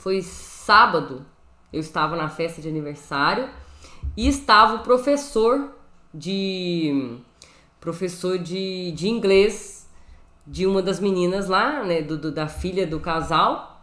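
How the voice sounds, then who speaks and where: Speaking very slowly with long, frequent pauses, a woman with a strong mineiro accent uses a medium pitch, and audible room echo surrounds her voice. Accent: Brazilian mineiro accent, strong. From Brazil, Minas Gerais. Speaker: Bible and Hebrew teacher. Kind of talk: live teaching stream. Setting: live stream from home room. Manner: casual, conversational. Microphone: new microphone.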